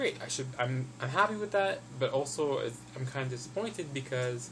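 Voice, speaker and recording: A man speaks at a medium pitch with lively intonation. Noticeable background noise and audible room echo fill the recording. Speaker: health vlogger. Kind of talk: casual vlog update. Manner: fast.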